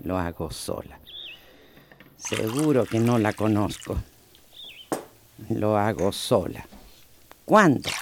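Doing a put-on character voice, a woman talks at an extremely low pitch with lively intonation. Her pace is slow, with long, frequent pauses.

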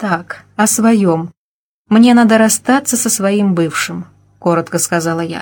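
The background stays quiet behind a natural reading voice whose pitch varies in an ordinary way.

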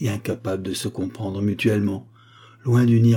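The clip offers a natural reading voice with fairly even intonation.

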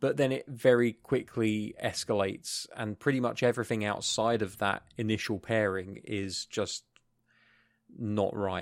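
Here a man with a British accent talks at a fairly low pitch and a fairly slow pace, with fairly even intonation. The recording is very clean, with a silent background. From UK. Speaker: podcast co-host. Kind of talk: casual chat. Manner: hesitant, many fillers.

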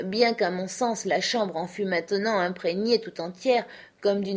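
Someone does a plain reading aloud here.

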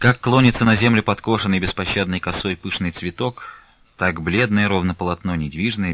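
The pitch moves in an ordinary way throughout this unforced reading voice.

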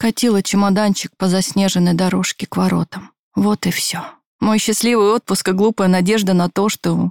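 Natural-voiced reading aloud with a quiet background

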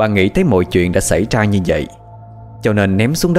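The clip features a natural reading voice. That voice does all the reading.

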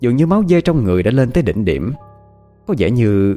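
Lively intonation throughout plain reading aloud.

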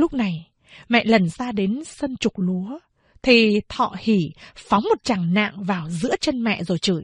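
The background stays quiet as the reading unfolds in an unforced reading voice.

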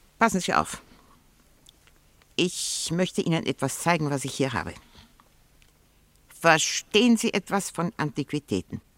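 A woman uses a put-on character voice with low pitch and big pitch swings, speaking at a fairly slow pace. Long, frequent pauses break up her speech, and the sound is dry and close with no echo. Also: fairly bright tone.

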